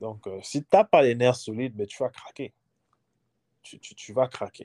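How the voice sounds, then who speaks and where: Lively intonation runs through speech delivered at a fairly slow pace. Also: man. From Gabon. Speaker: former international student. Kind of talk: interview.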